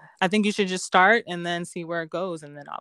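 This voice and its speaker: Here a woman is heard on a very clean recording with a silent background. The sound is dry and close, with no echo. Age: 30s. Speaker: model. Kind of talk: casual interview chat.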